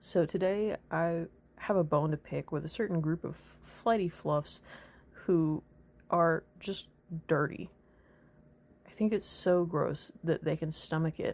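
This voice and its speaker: The pace is fairly slow, with long, frequent pauses and fairly even intonation. The recording is very clean, with a silent background. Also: woman, fairly low pitch for a woman. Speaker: furry artist, commentary narrator. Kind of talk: comedic storytime rant. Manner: monotone.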